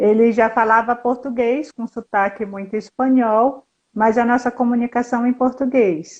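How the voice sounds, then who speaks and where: Over a quiet background, a woman speaks at a fairly slow pace with a high pitch and fairly even intonation. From Brazil, Northeast. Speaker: historian and fashion designer living abroad. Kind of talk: casual interview chat.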